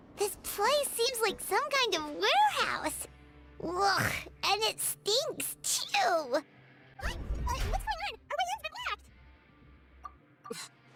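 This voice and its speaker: A put-on character voice at an extremely high pitch moves at a fairly slow pace. Long pauses come often. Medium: video game. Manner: outspoken.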